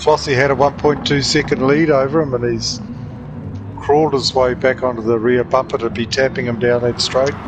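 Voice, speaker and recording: A man's medium-pitched voice with a New Zealand accent, fairly quick pace, fairly even intonation, and noticeable background noise. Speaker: sim racing co-commentator. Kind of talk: live race commentary.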